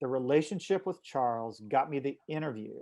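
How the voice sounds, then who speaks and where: Over a quiet background, a man has a fairly high pitch. His tone is dark and mellow. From eastern Kentucky. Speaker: company co-founder and CEO. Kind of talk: interview storytelling.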